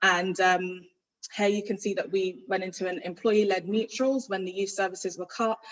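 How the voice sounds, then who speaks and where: With a London accent, a woman talks at a medium pitch with fairly even intonation. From London (Ladbroke Grove, west London). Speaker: youth violence project manager, guest speaker. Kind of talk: presentation. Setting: hybrid online event. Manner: projecting loudly. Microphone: too quiet at first.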